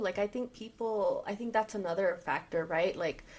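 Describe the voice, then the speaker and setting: A woman with a Spanish accent at a moderate pace. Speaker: therapist podcast co-host. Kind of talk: casual chat.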